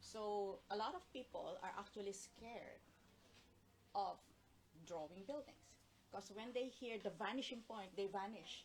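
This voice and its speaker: Fairly slow, somewhat breathy speech from a woman, broken by long, frequent pauses. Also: medium pitch for a woman, ordinary pitch variation. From Philippines. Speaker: urban sketching artist. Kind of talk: casual interview chat. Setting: Instagram Live video.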